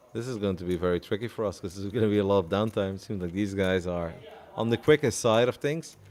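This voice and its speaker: A man's very fast speech with a Dutch accent, fairly low in pitch, with ordinary pitch variation. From Netherlands. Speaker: poker commentator. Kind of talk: live commentary; casual chat.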